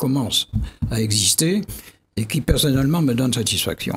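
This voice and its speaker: A man speaks with lively intonation in a somewhat breathy voice. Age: 80s+. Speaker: geographer and scientist; guest. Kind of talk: TV debate interview. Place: studio. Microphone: studio mic.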